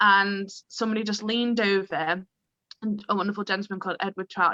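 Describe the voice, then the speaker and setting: Recorded dry and close with no echo, a woman speaks in a bright, sharp tone. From northern England, Chorley, Lancashire. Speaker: improviser and improv teacher. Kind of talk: casual chat.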